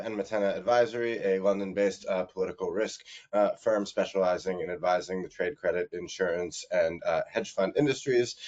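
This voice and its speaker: At a fairly quick pace, a man with an American accent talks at a medium pitch with fairly even intonation. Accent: American, noticeable. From United States. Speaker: political risk consultant. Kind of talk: panel introduction.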